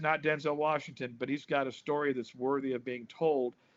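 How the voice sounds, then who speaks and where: A man with an American accent and an unremarkable speaking voice, fairly high in pitch, at a moderate pace with fairly even intonation. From US West Coast, Compton, Los Angeles. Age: 60s. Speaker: drummer and pastor. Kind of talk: interview, casual chat.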